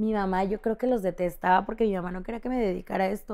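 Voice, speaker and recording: A woman speaks with a Mexican accent and ordinary pitch variation. The background is quiet. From Mexico. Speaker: content creator. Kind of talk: casual chat. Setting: studio. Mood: animated, storytelling. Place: studio.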